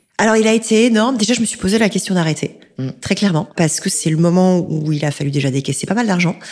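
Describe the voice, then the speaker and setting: At a very fast pace with hardly any pauses, a woman at medium pitch speaks with lively intonation. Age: 40s. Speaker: executive recruiter and podcaster. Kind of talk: interview.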